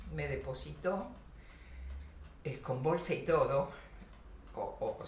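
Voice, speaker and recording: Very slow speech from a woman, noticeable background noise and audible room echo around her. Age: 70s. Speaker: Holocaust survivor. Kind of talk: testimony. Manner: halting, many fillers.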